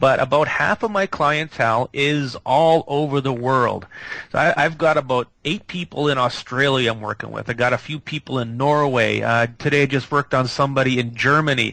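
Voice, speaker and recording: This man has a medium pitch and a bright, sharp tone. His pace is moderate, and his pitch varies in an ordinary way. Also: hardly any pauses. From Manitoba Mennonite German area, Canada. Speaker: energy healer. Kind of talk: radio interview. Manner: halting, many fillers and repeats.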